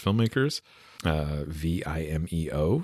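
In a very clean recording with a silent background, a man speaks with a West Coast Canadian accent in a very deep, low voice. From West Coast Canada. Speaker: podcast host and audiobook narrator. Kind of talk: casual podcast sign-off. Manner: informal, upbeat, chatty.

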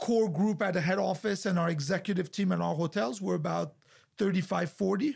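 This man speaks with a French accent and a high pitch. The recording is very clean, with a silent background. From France. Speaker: hotel group executive. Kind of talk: interview. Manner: halting.

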